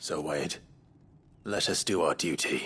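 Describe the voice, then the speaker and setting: Put-on character voice from a man, raspy and fairly slow. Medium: video game. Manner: measured, grave.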